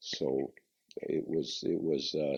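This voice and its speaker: A man speaks in a very deep, low pitch. His voice carries vocal fry. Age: 80s+. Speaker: car designer. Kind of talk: interview answer.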